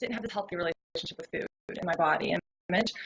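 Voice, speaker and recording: A woman speaks with a slight Southern US accent. Her pitch sits in the medium range. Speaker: health coach and personal trainer. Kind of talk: interview.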